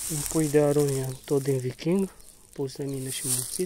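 The delivery is fairly slow, with light background noise. The sound is dry, with no echo. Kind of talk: casual tutorial walkthrough. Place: garden. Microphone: phone near.

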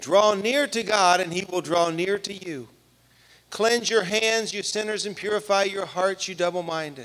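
Ordinary pitch variation and a moderate pace in a high-pitched male voice. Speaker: pastor. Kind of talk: sermon. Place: church. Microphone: handheld.

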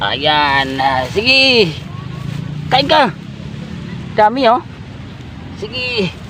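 A man's high-pitched voice at a very slow pace, with very wide pitch swings, long, frequent pauses and noticeable background noise. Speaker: goat-raising vlogger. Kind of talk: vlog narration outdoors. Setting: outdoors in a pasture.

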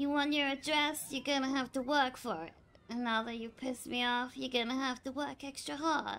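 A put-on character voice, high-pitched and gravelly, moves at a moderate pace. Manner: crude, contemptuous, menacing.

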